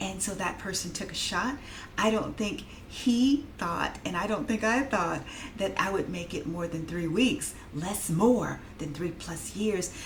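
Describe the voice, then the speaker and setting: Lively intonation comes at a fairly slow pace, with audible room echo and noticeable background noise. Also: woman, medium pitch for a woman. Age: 50s. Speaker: vlogger and technical writer. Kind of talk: casual vlog monologue. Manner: hesitant with many fillers.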